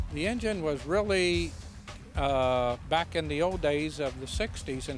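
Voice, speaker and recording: With music in the background, a man speaks at a moderate pace in a fairly high pitch with lively intonation. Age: 60s. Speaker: hot rod owner. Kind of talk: casual interview.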